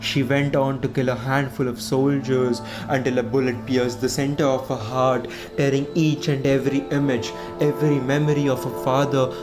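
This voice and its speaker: The speech moves at a moderate pace while music plays in the background. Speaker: poet. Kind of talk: spoken word poetry.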